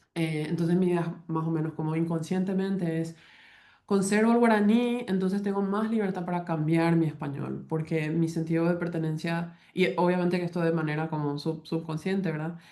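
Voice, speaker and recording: Intonation here is fairly even. The tone comes across dark and mellow. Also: woman, fairly low pitch for a woman, moderate pace. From Paraguay. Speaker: linguistics professor. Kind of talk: academic talk. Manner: halting, many fillers and false starts.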